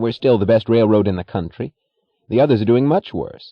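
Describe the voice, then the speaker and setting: In a put-on character voice, a man whines at a fairly quick pace, his pitch medium and its variation ordinary. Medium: read story. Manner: whiny, evasive, nervous.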